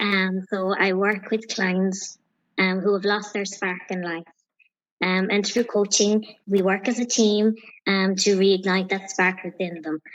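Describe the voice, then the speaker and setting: A woman's medium-pitched voice in an Irish accent, monotone and flat in intonation, at a fairly slow pace. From Ireland, County Clare. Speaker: empowerment coach. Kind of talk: interview. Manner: soft-spoken.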